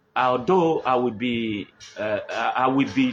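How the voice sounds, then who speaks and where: A man with a Nigerian accent and lively intonation, over noticeable background noise. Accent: Nigerian Igbo English. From Nigeria, Igbo (Onitsha Igbeze area). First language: Igbo. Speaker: livestream host on culture and tradition. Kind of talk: live-streamed cultural talk. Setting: live stream on a phone. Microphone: poor network connection.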